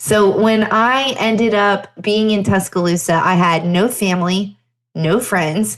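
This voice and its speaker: Against a quiet background, a woman with a slight Southern US accent speaks fairly slowly at a medium pitch, with ordinary pitch variation and very even loudness. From Pennsylvania. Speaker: chiropractor and podcast host. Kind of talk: solo podcast storytelling. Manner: conversational.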